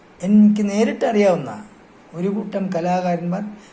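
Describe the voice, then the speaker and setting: There is noticeable background noise and audible room echo. A man speaks with fairly even intonation. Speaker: music director. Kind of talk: welcome message. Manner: formal.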